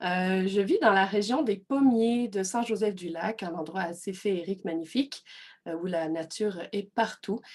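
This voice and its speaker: A woman speaks at a fairly slow pace with a slight Belgian accent. Her pitch is medium and its variation ordinary. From Belgium. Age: 30s. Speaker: personal development coach. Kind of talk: online workshop presentation. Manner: hesitant, many fillers.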